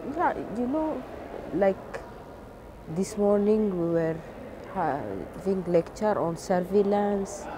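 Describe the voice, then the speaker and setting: Against noticeable background noise but with a dry sound and no echo, a woman at a medium pitch speaks at a very slow pace with long, frequent pauses and lively intonation. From Ethiopia. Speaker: government plant health expert. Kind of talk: interview. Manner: halting, with fillers. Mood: calm, earnest. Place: street. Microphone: lapel.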